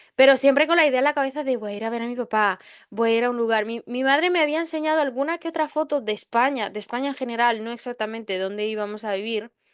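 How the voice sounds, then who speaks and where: A woman speaks at a very fast pace in a high voice, with hardly any pauses. Her pitch variation is ordinary, and the background is quiet. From Spain (arrived at 11 from another country). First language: not Spanish (learned Spanish at 11) (speaking Spanish). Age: 20s. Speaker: podcast host. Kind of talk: personal storytelling monologue. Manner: hesitant, many fillers.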